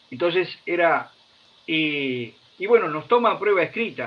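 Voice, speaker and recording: A high-pitched man speaks with lively intonation at a fairly slow pace. Noticeable background noise is heard behind him. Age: 70s. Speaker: retired army officer. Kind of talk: interview conversation.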